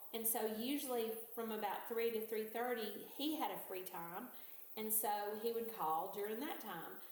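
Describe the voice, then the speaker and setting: A woman's fairly high voice with fairly even intonation and a fairly slow pace, amid audible room echo and noticeable background noise. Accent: American. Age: 60s. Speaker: retired teacher. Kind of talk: interview testimony.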